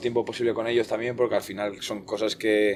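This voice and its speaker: With a fairly low pitch, a man talks in a monotone, flat intonation. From Basque Country, Spain (Eibar); born in northern Portugal. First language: Portuguese (speaking Spanish). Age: 20s. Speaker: futsal goalkeeper. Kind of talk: podcast interview.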